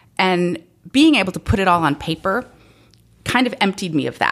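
A woman with an American accent talks at a fairly quick pace in a very clean recording with a silent background. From sub-Saharan Africa, returned to the US at sixteen. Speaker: novelist and former Peace Corps volunteer. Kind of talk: casual interview. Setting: at home.

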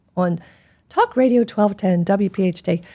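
Her intonation fairly even, a woman with an American accent speaks at a medium pitch. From Philadelphia. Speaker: gastroenterologist. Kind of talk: interview.

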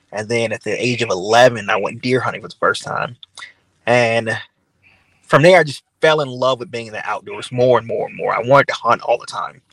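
The speaker is a man with a Louisiana accent. He talks at a fairly quick pace. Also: big swings in loudness, dry, close sound with no echo. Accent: Southern US (Louisiana). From US South, Louisiana (Baton Rouge). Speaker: hunting influencer. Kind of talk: interview. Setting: video call.

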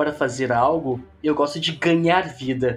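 Noticeable background noise sits under the speech. A man with a southern Brazilian accent talks at a fairly high pitch and a fairly slow pace. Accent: gaucho. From southern Brazil, Porto Alegre. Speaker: tabletop game content creator. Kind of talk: casual chat.

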